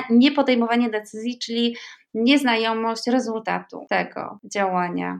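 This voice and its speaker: A woman's voice with ordinary pitch variation. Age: 40s. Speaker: writer and writing workshop leader. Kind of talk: casual chat.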